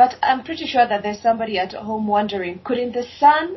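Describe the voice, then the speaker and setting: A woman's somewhat breathy voice, fairly high in pitch, at a moderate pace. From equatorial-climate country. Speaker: podcast host. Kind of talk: interview. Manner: upbeat.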